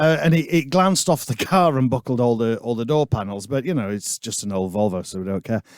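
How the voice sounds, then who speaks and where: A man with a Yorkshire accent races along at a very fast pace with hardly any pauses, medium pitch and very wide pitch swings, on a very clean recording with a silent background. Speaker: musician, podcast co-host. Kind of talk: casual chat.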